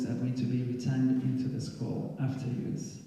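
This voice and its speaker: A man at a medium pitch and moderate pace, with noticeable background noise and audible room echo. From Tanzania. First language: Swahili. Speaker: school alumnus and guest speaker. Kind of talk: presentation with Q&A.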